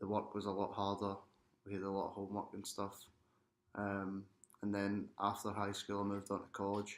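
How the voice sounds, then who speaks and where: Fairly low-pitched and in a Glaswegian accent, a man talks at a fairly quick pace with monotone, flat intonation and long, frequent pauses. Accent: Glaswegian Scottish. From Scotland, Glasgow. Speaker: international student athlete. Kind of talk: interview testimony.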